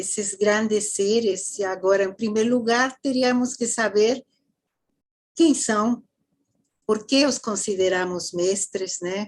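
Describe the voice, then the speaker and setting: A woman talks at a very slow pace with a Mexican accent, pausing long and often. Her pitch is fairly high with ordinary variation. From Mexico. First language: Spanish (speaking Portuguese). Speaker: theosophy lecturer. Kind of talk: lecture.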